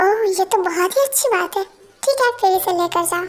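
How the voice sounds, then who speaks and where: A squeaky, put-on character voice at a fairly quick pace, with very even loudness and ordinary pitch variation. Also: woman, extremely high pitch for a woman. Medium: read story. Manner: warm, reassuring.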